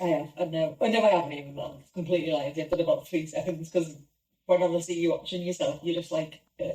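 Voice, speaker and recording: Fairly low for a woman, her somewhat breathy voice with a dark, mellow tone races at a very fast pace with fairly even intonation. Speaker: podcast co-host. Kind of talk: casual chat.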